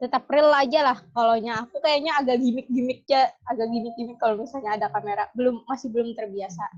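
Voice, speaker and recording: A woman speaks at a very fast pace with hardly any pauses. Her pitch sits high. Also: ordinary pitch variation. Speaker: podcast co-host. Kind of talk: casual chat. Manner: halting, not very fluent.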